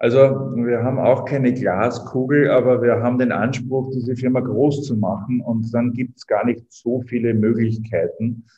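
With hardly any pauses, a man talks at a moderate pace in a medium pitch and a monotone, flat intonation. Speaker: startup co-founder. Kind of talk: interview.

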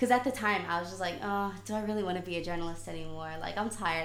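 In an American accent, a woman with a fairly low pitch talks at a very fast pace. Audible room echo and noticeable background noise fill the recording. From South Africa. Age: 18. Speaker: student journalist. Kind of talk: casual chat.

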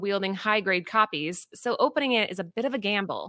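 This woman speaks at medium pitch and a fairly quick pace, her tone bright, sharp and animated. Her pitch varies an ordinary amount, and the recording is very clean with a silent background. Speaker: comic book co-host. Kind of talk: casual chat.

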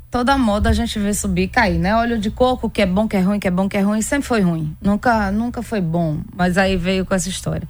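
In an ordinary speaking voice, a woman with a medium pitch talks at a fairly quick pace with ordinary pitch variation and hardly any pauses. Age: 40s. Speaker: endocrinologist. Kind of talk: radio interview.

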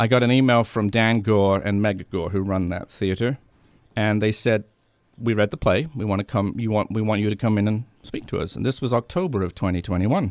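On a very clean recording with a silent background, a man with a slight British accent speaks at a fairly quick pace in a fairly low pitch with ordinary pitch variation, the sound dry and close with no echo. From England. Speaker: theatre company founder and playwright. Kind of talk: radio interview. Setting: radio studio.

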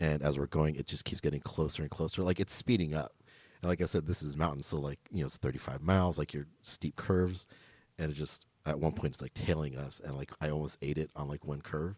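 In a very clean, dry and close recording with no echo and a silent background, a man with a very deep, low pitch and an American accent talks at a fairly quick pace with fairly even intonation. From Los Angeles, Echo Park. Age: 30s. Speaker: podcast host. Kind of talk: casual chat.

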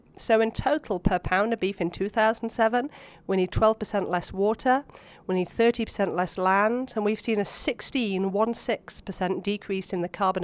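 Over a quiet background, a woman with an English accent speaks at medium pitch. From England (Oxford). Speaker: animal science researcher. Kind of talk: interview.

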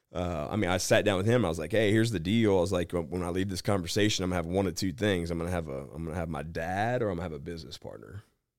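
With an American accent, a man with a very deep, low voice talks at a very fast pace with hardly any pauses and ordinary pitch variation, on a very clean recording with a silent background. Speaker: bounty hunter. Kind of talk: casual chat. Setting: studio.

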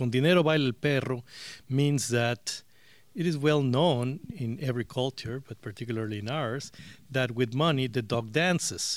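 A medium-pitched man with a Spanish accent and ordinary pitch variation, at a moderate pace, in a very clean recording with a silent background. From Mexico. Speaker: interviewee. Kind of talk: interview.

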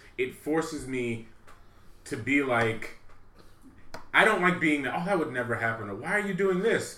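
A man with an American accent talks at a moderate pace and a fairly high pitch, with very wide pitch swings, long, frequent pauses and audible room echo. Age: 30s. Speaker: returning podcast guest, film fan. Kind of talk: casual chat.

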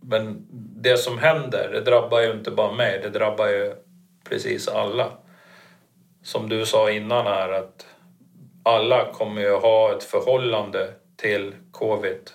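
Fairly slow speech from a man, broken by long, frequent pauses. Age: 50s. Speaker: coaching client. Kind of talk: casual chat.

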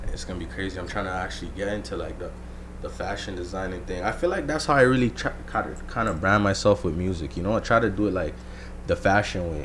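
A man's very deep, low voice at a very fast pace, very wide pitch swings and audible room echo. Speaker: rapper and guest. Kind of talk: casual chat.

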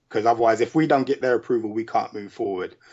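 A man is speaking. He talks with a London accent. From UK. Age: 40s. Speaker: indie filmmaker and musician. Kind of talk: casual interview.

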